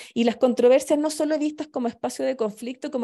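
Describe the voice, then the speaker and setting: Against a quiet background, a woman speaks with a Chilean accent. Her voice has a high pitch and a dark, mellow tone. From southern Chile. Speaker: anthropologist and lecturer; lecturer. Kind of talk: lecture. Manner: halting, many fillers. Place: home room. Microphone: webcam.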